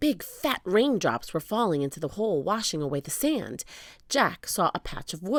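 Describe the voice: A passage in plain reading aloud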